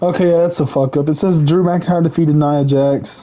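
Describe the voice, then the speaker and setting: Shouting in an animated tone, the speaker keeps a moderate pace. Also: man. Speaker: gaming livestreamer and wrestling commentator. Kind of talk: casual livestream rant. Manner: loud, yelling; animated, repetitive stammering.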